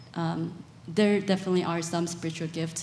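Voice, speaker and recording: A somewhat breathy woman's voice, fairly low in pitch, with monotone, flat intonation. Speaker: church staff counselor. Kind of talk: panel Q&A.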